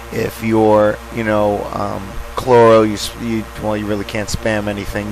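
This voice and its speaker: There is noticeable background noise behind this man. His voice sits at a fairly low pitch. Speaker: gamer narrating a boss guide. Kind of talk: tutorial voiceover. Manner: casual, halting with repetitions.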